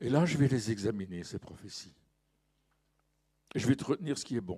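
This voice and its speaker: The voice has a dark, mellow tone and lively intonation. It moves at a fairly quick pace. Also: man, medium pitch for a man. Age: 70s. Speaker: pastor. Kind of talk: sermon. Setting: church.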